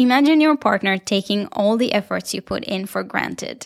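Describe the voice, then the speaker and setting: A woman with an Israeli accent. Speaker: podcast host and professional dancer. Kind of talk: solo podcast monologue, partly reading a blog post. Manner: warm, conversational, friendly.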